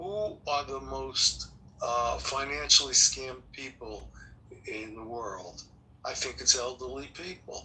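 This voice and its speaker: A man speaks with a New York accent at a fairly slow pace. His loudness swings widely, and there is noticeable background noise. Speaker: forum participant. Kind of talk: group discussion. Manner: casual, blunt.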